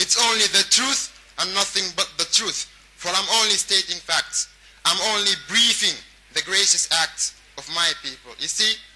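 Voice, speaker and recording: A man speaks at a high pitch. Noticeable background noise runs behind him. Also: ordinary pitch variation, moderate pace. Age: 20s. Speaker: performance poet. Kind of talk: spoken word poetry.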